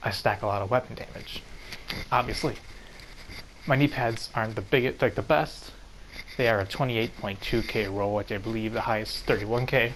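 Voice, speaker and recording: Over noticeable background noise, a man speaks at a fairly quick pace and medium pitch, with fairly even intonation and long, frequent pauses. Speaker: gaming youtuber. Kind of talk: game tutorial. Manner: fast.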